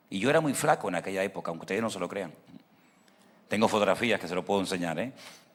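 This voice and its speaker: His tone is animated throughout. This man's intonation stays lively. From Venezuela. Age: 60s. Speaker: pastor. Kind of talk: sermon.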